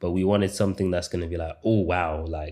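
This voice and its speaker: In a British accent, a man speaks with a very deep, low pitch, a dark, mellow tone and fairly even intonation. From England, Birmingham. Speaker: YouTube growth coach. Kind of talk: online course lecture. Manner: stutters at times; casual, halting with repetitions.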